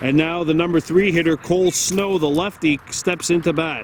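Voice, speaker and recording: Loud and high-pitched, a man speaks at a fairly slow pace with fairly even intonation over noticeable background noise. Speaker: baseball play-by-play commentator. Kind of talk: live commentary. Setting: outdoors at a ballfield.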